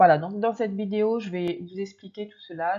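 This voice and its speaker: Dark, mellow tone from a woman, with fairly even intonation. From Réunion island. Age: 30s. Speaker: youtuber, nursing assistant. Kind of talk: video presentation. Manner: casual with hesitations.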